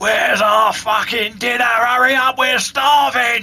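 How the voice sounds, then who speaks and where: Speaking at a fairly slow pace, a man uses a put-on character voice pitched extremely high. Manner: impatient, aggressive.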